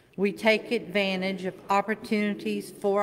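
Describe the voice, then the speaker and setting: Fairly slow speech from a woman, light background noise behind her. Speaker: worship leader. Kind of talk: reading aloud. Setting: church. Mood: calm, solemn. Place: church. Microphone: podium.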